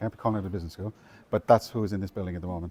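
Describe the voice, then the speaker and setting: With an Irish accent, a man speaks in a fairly low voice, dark and mellow in tone, with fairly even intonation. The recording is very clean with a silent background and a dry, close sound with no echo. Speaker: university estates manager giving a campus tour. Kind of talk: guided tour talk. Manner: conversational with frequent fillers and restarts.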